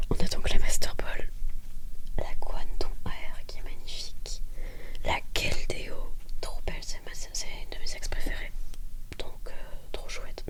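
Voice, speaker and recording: A soft-spoken woman whispering at a very slow pace with long, frequent pauses, over noticeable background noise. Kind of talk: ASMR card pack opening. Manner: soft-spoken, whispered.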